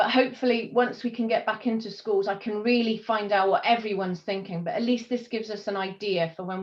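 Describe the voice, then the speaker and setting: A woman's unremarkable speaking voice at a fairly quick pace, with ordinary pitch variation. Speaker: community volunteer working with schools. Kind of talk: presentation in community video meeting.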